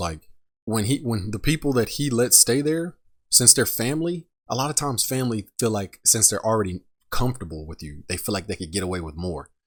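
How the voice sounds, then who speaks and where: A man with a normal speaking voice, fairly quick and lively in intonation, on a very clean recording with a silent background. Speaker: reaction commentator. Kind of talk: casual reaction commentary.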